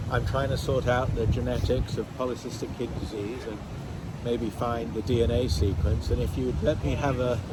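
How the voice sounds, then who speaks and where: A man's fairly low voice at a fairly quick pace, with noticeable background noise and audible room echo. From England, London. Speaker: nephrologist and genetics researcher. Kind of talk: interview. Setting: outdoors on a pier.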